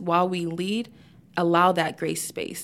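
A woman with an American accent has a plain, everyday voice at a fairly low pitch. She keeps a moderate pace. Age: 20s. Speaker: politician. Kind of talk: casual chat.

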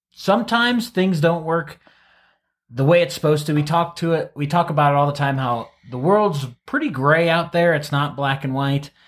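This man has an unremarkable speaking voice with an American accent, a fairly high pitch, ordinary pitch variation and a moderate pace. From US Midwest, Ohio. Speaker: physical therapist podcast co-host. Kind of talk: casual chat about a patient case.

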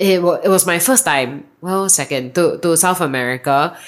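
Talking at a moderate pace in a Singaporean accent, a woman uses a fairly low pitch and lively intonation. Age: 30s. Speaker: marketing manager. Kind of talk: casual chat. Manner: varied intonation.

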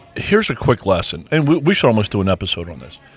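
A man's voice with very wide pitch swings, music in the background. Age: 60s. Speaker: podcast host. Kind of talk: casual chat.

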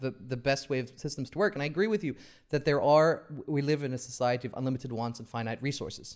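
A man with an American accent at medium pitch, very fast pace, ordinary pitch variation. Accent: American-sounding accent picked up from TV. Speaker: podcast host. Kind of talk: casual conversation.

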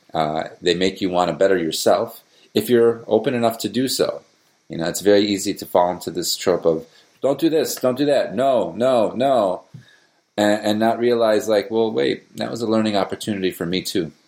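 With an American accent, a man uses a normal speaking voice, pitched fairly low with ordinary pitch variation. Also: moderate pace. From US, Palestinian American family. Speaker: musician and father. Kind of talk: interview.

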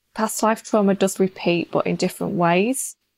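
At a fairly slow pace, a woman speaks in a fairly low pitch with fairly even intonation. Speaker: shamanic healer. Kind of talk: interview answers about healing. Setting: remote call.

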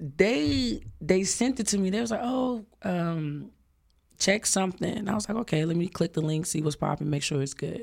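A woman with an American accent, fairly low pitch and a moderate pace. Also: lively intonation. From Dallas, Texas (Oak Cliff). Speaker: singer and event planner. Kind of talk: casual interview. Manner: animated.

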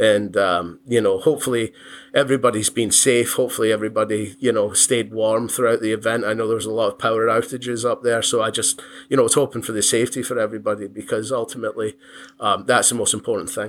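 Very fast delivery with fairly even intonation. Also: man, medium pitch for a man. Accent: Scottish. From Scotland, Giffnock near Glasgow. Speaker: contractor, business owner. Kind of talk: casual interview chat. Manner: hesitant, many fillers.

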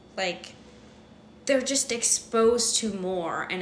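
Over noticeable background noise, a woman speaks in an animated tone with lively intonation. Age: 20s. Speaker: podcast co-host. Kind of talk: casual chat.

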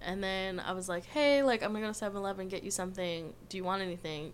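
With audible room echo, a woman in an American accent speaks very fast at a medium pitch with ordinary pitch variation. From Southern California (Orange County). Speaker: tattoo artist. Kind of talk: casual chat.

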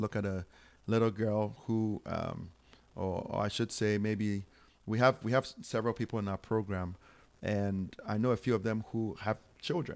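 With a Ghanaian accent, a man speaks at a fairly low pitch and with fairly even intonation on a very clean recording with a silent background. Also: moderate pace. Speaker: charity founder and minister. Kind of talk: interview. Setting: home studio.

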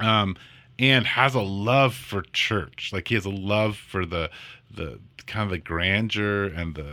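A bright, sharp tone with lively intonation at a fairly slow pace, on a very clean recording with a silent background. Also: man. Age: 40s. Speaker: pastor and podcast co-host. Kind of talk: casual chat.

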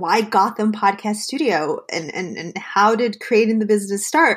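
A woman speaks with an unremarkable speaking voice at a medium pitch. Her pace is moderate. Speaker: podcast host. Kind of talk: casual interview chat.

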